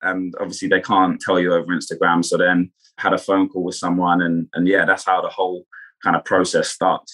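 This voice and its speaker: Speaking fairly quickly, a man talks with a southern English accent. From Kent, England. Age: 20s. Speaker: reality TV contestant and former footballer. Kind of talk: casual interview chat.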